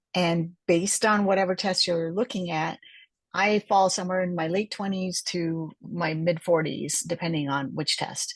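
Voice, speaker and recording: Using an ordinary speaking voice, a woman talks at a moderate pace with fairly low pitch and fairly even intonation. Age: 60s. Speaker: cell biologist. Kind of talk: health lecture. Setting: online group call with screen share.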